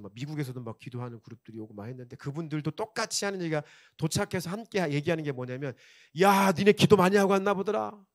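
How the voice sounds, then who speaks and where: A man with a fairly high pitch talks at a very fast pace with lively intonation, in a dry, close sound with no echo. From South Korea, Chungcheong region. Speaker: pastor. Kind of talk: sermon. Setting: church. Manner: animated.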